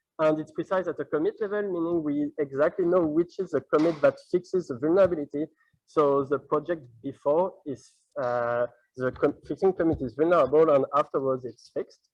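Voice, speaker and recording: A fairly high-pitched male voice at a fairly quick pace, with ordinary pitch variation and a dry, close sound with no echo. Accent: French. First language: French. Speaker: PhD student researcher. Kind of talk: conference talk. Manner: halting.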